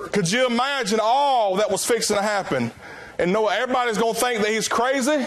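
Through noticeable background noise, a man with a Southern US accent talks at a fairly quick pace and an extremely high pitch, his loudness very even and his pitch variation ordinary. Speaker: preacher. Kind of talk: sermon.

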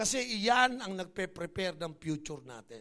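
Animated and bright, a man's voice has a sharp tone and lively intonation. He speaks in a raised, projected voice. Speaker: bishop, preacher. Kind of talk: sermon, preacher in full flow, rallying the congregation. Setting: church stage with audience. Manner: animated, emphatic; call-and-response, exhorting.

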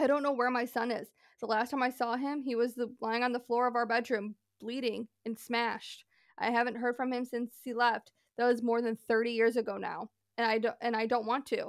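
A woman speaks at a fairly quick pace in a high, monotone, flat voice. The sound is dry and close with no echo. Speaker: podcast host. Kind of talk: casual storytelling, reading Reddit posts aloud.

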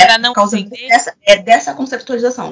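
Noticeable noise in the background accompanies a woman talking somewhat fast. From Rio de Janeiro, Brazil. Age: 20s. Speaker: romance novelist. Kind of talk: casual panel discussion.

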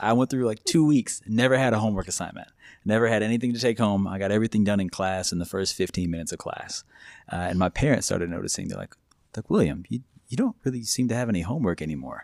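Over a very clean recording with a silent background, a man with a Midwestern American accent and a fairly low voice talks very fast. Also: ordinary pitch variation. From small-town Kansas, then Wichita. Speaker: pharmacist. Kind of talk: casual chat.

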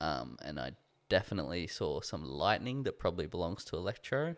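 Heard on a very clean recording with a silent background, a man speaks with vocal fry in an Australian accent. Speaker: podcast co-host. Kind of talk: casual chat.

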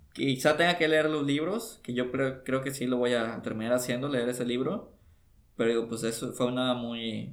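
An ordinary speaking voice holds fairly even intonation and a moderate pace. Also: man. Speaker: podcast co-host. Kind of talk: casual chat. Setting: home recording studio.

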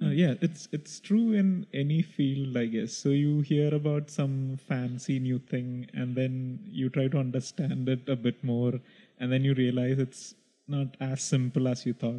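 A man with a Keralan accent speaks at a fairly slow pace. His pitch is medium with ordinary variation. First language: Malayalam. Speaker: podcast co-host. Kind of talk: casual chat.

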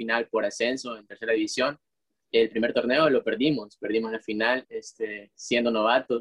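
At a moderate pace, a male speaker talks in a medium pitch. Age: 20s. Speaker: footballer and business student. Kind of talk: casual chat.

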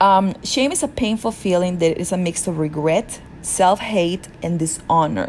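This woman talks fairly slowly. Her voice is pitched in the middle range. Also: ordinary pitch variation. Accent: Peruvian. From Peru (rural south). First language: Spanish. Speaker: podcast host. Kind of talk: solo self-help monologue.

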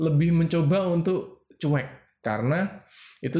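A man speaks with ordinary pitch variation. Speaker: podcast co-host. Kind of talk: casual chat.

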